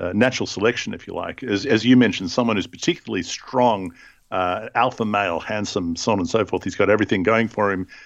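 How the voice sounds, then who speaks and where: A man with an Australian accent and a fairly low pitch, ordinary pitch variation, and a quiet background. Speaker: podcast host. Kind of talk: casual chat about scripture.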